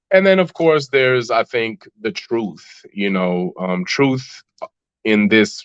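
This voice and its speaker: In a Chicago accent, the speaker talks at a fairly slow pace with lively intonation. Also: man. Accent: Chicago American English. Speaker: rapper. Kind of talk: podcast interview. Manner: halting.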